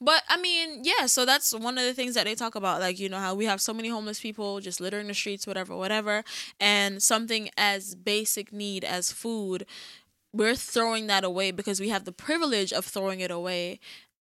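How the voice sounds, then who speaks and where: Bright and sharp in tone, a woman of medium pitch talks at a fairly quick pace with ordinary pitch variation. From Jamaica. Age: 20s. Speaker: podcast host. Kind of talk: casual chat. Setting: studio.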